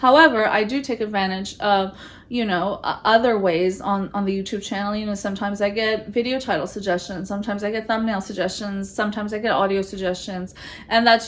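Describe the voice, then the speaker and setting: A woman rattles off her words very fast, her medium pitch held to fairly even intonation, while noticeable background noise runs underneath. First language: not English; English is her third language. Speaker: business lawyer and channel host. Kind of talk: direct-to-camera talk.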